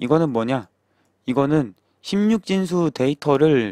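Recorded very cleanly against a silent background, with a dry, close sound and no echo, a man speaks at a very slow pace in a fairly high pitch with lively intonation. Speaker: programming instructor. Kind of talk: tutorial. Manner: repetitive, self-correcting.

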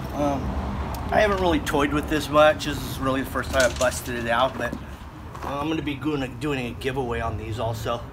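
This man talks fairly quickly. There is noticeable background noise behind him. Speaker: concrete contractor. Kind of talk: tutorial. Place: garden. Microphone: phone near.

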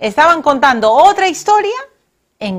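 A woman speaks at a moderate pace with lively intonation against a quiet background. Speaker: TV show host. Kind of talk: closing remarks to camera. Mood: warm, celebratory. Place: studio.

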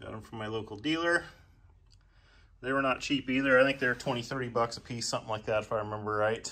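A man talks at a very fast pace in a bright, sharp tone, with ordinary pitch variation. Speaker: DIY tractor owner. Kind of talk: tutorial. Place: garage. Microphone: phone near.

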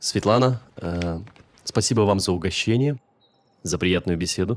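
A man's pitch swings very widely as he talks at a moderate rate. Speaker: guest. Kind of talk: casual polite farewell. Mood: friendly, slightly shy. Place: home room.

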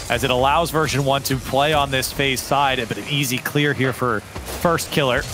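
An animated man talks over noticeable background noise. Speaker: esports commentator. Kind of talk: live esports commentary. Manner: animated, fast-paced play-by-play.

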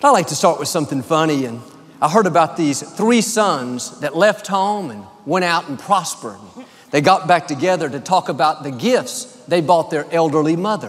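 Here a man with an American accent speaks at a high pitch. His intonation is lively and his pace moderate. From United States. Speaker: preacher. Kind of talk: sermon delivered to a congregation. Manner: warm, friendly, upbeat. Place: hall. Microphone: headset.

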